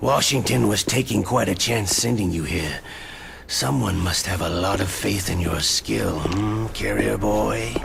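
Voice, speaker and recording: The speaker uses a put-on character voice. Clear background noise is audible. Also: man, very deep, low pitch for a man, moderate pace. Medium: machinima. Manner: terse, dry, gruff.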